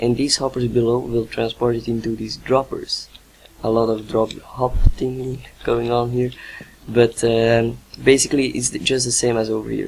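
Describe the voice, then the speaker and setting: With a non-native accent, the speaker talks at a moderate pace in a monotone, flat intonation. Noticeable background noise runs underneath. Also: man, medium pitch for a man. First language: not English. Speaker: gaming video maker. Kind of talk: tutorial. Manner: halting, many fillers.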